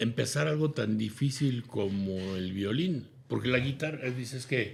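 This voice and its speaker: Somewhat breathy, a man speaks at a medium pitch and a moderate pace with lively intonation. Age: 70s. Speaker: businessman and consultant. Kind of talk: interview.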